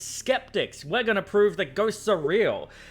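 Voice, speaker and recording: A man speaks with an Australian accent and a bright, sharp tone. The recording is very clean, with a silent background. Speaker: board game show host. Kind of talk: casual interview.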